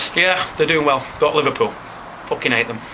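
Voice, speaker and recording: A man speaks with a Manchester accent at a fairly high pitch. There is noticeable background noise. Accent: Greater Manchester English. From Leigh, Greater Manchester, England. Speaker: football fan. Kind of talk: interview answer. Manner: casual, profane.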